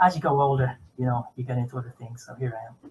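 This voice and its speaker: The speech is very fast and somewhat breathy. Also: man. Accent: Dublin. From Ireland, Dublin. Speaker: podcaster, former motorsport journalist. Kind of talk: casual chat.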